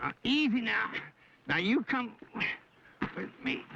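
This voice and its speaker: Drawling at a fairly slow pace, the speaker uses a put-on character voice with a fairly high pitch. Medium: short film. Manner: folksy drawling backwoods talk.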